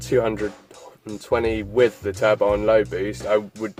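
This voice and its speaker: A man's fairly low voice with lively intonation, at a moderate pace, over music in the background. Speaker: car enthusiast. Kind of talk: casual talk to camera.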